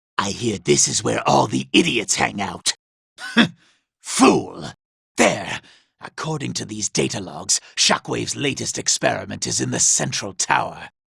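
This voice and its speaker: A man puts on a character voice that is raspy and very deep and low in pitch, delivered at a fairly slow pace. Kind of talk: video game character dialogue. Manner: sneering, condescending.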